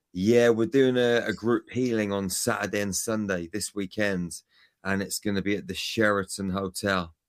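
A man with a British accent talks at a moderate pace, his pitch fairly low and intonation fairly even. The recording is very clean with a silent background. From UK. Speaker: spiritual healer and speaker. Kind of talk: radio interview.

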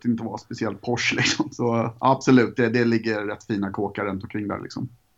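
This man talks at a moderate pace in a medium pitch, his intonation monotone and flat. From Sweden, Jönköping then Gothenburg. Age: 40s. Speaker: graffiti artist. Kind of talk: casual interview.

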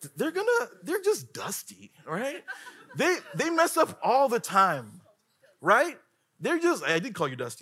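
A man uses a raised, projected voice at an extremely high pitch, with an animated tone. He speaks at a fairly slow pace, with very wide pitch swings and big swings in loudness. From Africa. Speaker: guest preacher. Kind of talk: sermon.

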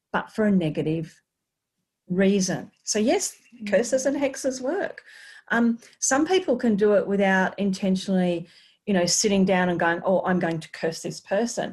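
A woman's medium-pitched, somewhat breathy voice in an Australian accent, with lively intonation at a moderate pace. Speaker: energy healer and former paramedic. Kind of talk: casual interview. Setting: video call.

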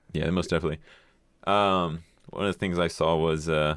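This man's voice has a very deep, low pitch. His intonation stays fairly even. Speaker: podcast guest and intern. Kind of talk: casual chat. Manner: profane, joking.

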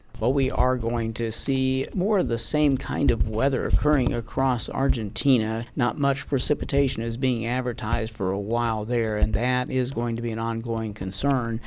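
The man has an unremarkable speaking voice at a medium pitch. He talks at a moderate pace with ordinary pitch variation. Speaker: meteorologist. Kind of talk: scripted weather report. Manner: formal; steady, businesslike.

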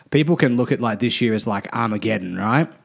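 In a very clean recording with a silent background, a man with a normal speaking voice talks at medium pitch with lively intonation. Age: 30s. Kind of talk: casual chat.

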